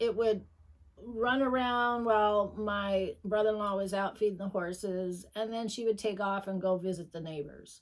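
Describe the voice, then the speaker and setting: A woman with a plain, everyday voice speaks at a moderate pace and medium pitch, keeping her intonation fairly even. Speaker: quilter. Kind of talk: casual chat. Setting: sewing room.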